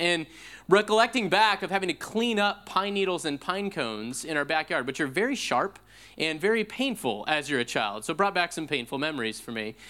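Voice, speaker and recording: Speaking in a raised, projected voice with an American accent, a man talks at a fairly quick pace, his high pitch making very wide swings. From US Pacific Northwest. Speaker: pastor. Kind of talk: sermon. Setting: church.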